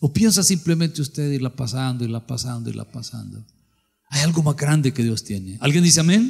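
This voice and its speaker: Against a quiet background, a man talks at a fairly quick pace in an animated tone. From El Salvador. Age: 60s. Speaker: pastor. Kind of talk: sermon. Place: church. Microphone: handheld.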